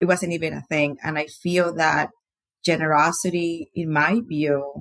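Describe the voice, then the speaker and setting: Dry and close with no echo, a woman's voice comes through in a Panamanian accent at a fairly low pitch and moderate pace. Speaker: podcast guest sharing faith and generosity story. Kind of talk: interview testimony.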